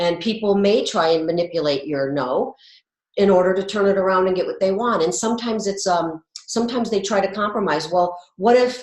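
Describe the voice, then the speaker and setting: A woman talks at a fairly quick pace in a plain, everyday voice, with a medium pitch and ordinary pitch variation. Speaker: wellness coach. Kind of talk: co-hosted educational video.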